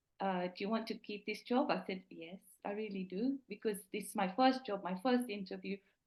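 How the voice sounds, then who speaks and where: Somewhat breathy, a woman talks at medium pitch with ordinary pitch variation. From East Africa (Indian family), moved to England as teen. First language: not English (Indian language). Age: 50s. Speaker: podcast guest. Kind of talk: casual interview conversation. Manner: hesitant, repeats words.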